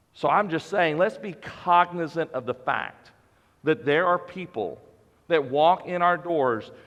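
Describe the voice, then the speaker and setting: A loud man's voice, high-pitched for a man, at a fairly slow pace with ordinary pitch variation. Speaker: pastor. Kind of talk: sermon.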